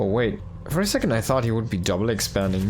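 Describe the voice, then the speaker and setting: Over music in the background and audible room echo, a man with a fairly low pitch talks at a fairly quick pace with ordinary pitch variation. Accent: German. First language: German. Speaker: esports caster. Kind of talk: live commentary. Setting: live stream. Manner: animated.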